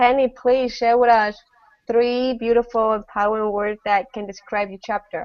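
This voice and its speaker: A woman in a non-native accent speaks with a fairly high pitch and monotone, flat intonation. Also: moderate pace. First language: not English. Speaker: online panel host. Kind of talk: casual online panel chat. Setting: video call. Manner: halting.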